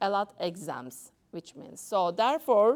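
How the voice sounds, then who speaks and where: Lively intonation colors a woman's speech in a Turkish accent. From Turkey. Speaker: doctor. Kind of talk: talk to an audience. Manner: halting.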